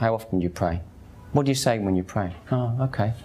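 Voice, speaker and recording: A man speaks with a Cockney accent at a medium pitch. His intonation is lively. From East End of London, Hackney. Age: 50s. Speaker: convert sharing his story. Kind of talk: testimony. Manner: conversational.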